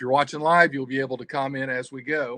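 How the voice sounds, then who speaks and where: A man with a Southern US accent has a bright, sharp tone, a medium pitch and fairly even intonation. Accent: Southern US twang. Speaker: adventure travel company owner. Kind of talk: livestream presentation. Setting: video livestream. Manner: halting, many fillers.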